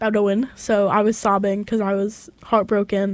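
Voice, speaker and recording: A woman speaks at a moderate pace in a slight Southern US accent. The recording is very clean, with a silent background. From Tennessee and Chicago area. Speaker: college radio co-host. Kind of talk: casual chat.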